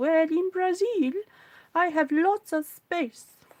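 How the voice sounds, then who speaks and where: A put-on character voice comes through at an extremely high pitch. It moves at a fairly slow pace. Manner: deliberately exaggerated, poor imitation.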